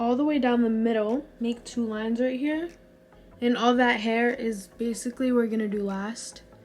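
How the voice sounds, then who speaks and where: A woman's fairly high voice with fairly even intonation over faint background music. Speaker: hair tutorial vlogger. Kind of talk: tutorial. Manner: casual, chatty. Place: home room. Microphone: phone near.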